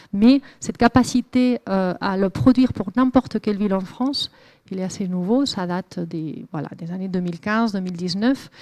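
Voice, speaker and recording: Her voice dark and mellow at a medium pitch, a woman with a Spanish accent speaks at a moderate pace with ordinary pitch variation in a dry, close sound with no echo over a quiet background. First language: Spanish (speaking French). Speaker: climate researcher. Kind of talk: lecture. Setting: lecture hall with audience. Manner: hesitant, many fillers.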